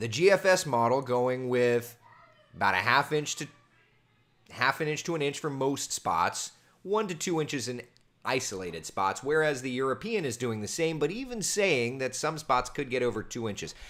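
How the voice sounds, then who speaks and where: At a moderate pace, a man talks in an animated tone with lively intonation and medium pitch. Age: 30s. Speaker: meteorologist. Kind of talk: casual chat. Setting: live stream.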